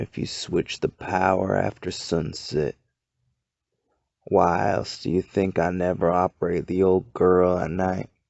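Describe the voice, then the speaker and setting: A man drawls in a put-on character voice with a very deep, low pitch. His pace is fairly slow and his intonation fairly even. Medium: read story. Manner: folksy drawl.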